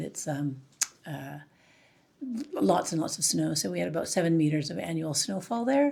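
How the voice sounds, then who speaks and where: Speaking at a fairly quick pace, a woman talks with a Canadian accent. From Canada, northern British Columbia. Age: 60s. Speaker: charity founder. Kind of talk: interview. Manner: hesitant, many fillers.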